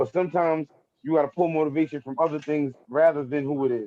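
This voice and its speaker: Very fast delivery in a Brooklyn accent, with fairly even intonation. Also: man. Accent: Brooklyn New York. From New York, Brooklyn. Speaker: battle rapper. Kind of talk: casual interview. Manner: casual, repetitive filler.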